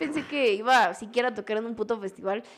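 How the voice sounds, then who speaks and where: In a Mexican accent, a woman speaks high for a woman with lively intonation. Her pace is fairly quick. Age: 20s. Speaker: DJ and music producer. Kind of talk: casual chat.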